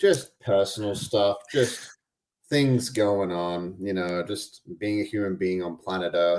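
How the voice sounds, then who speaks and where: With an Australian accent, a man speaks at a very slow pace. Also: fairly low pitch for a man, ordinary pitch variation. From Australia (Albany, Western Australia). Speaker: podcast host and integration coach. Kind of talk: casual interview chat.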